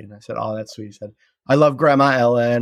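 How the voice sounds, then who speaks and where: A man talks in an ordinary speaking voice, at medium pitch, with fairly even intonation. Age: middle-aged. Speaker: sitcom writer. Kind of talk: casual chat. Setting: video call.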